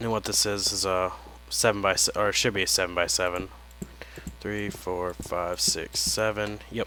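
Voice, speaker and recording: A man speaks quietly at a fairly low pitch. His pace is moderate, with ordinary pitch variation. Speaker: gaming video creator. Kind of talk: let's play commentary. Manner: quiet, low voice; casual, meandering.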